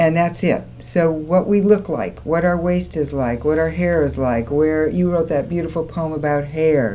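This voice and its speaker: Against noticeable background noise, a woman with a very deep, low pitch speaks at a moderate pace. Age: 60s. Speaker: women's school co-founder. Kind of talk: studio talk show discussion. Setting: TV studio, live. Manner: animated.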